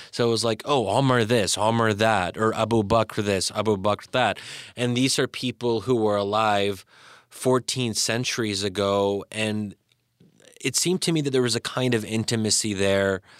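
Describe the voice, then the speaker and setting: A man with an American accent and an unremarkable speaking voice talks at a moderate pace in a fairly low pitch, with fairly even intonation and very even loudness, on a very clean recording with a silent background and a dry, close sound with no echo. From US, Pennsylvania (Bryn Mawr). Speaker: policy scholar and author. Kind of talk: interview. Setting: studio.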